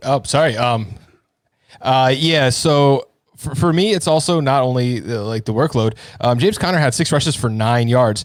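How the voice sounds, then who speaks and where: A man with an American accent at medium pitch and a moderate pace, with ordinary pitch variation. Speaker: fantasy football co-host. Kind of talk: casual live stream chat.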